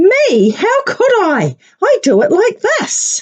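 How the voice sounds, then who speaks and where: A woman puts on a squeaky character voice with an extremely high pitch. She speaks at a very slow pace. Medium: read story. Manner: matter-of-fact.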